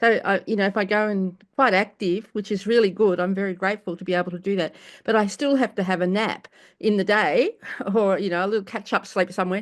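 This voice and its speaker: A woman speaks at a very fast pace with a medium pitch. Her intonation is fairly even, and the background is quiet. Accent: Australian. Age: 70s. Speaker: cancer patient in support group. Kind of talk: casual sharing. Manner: halting.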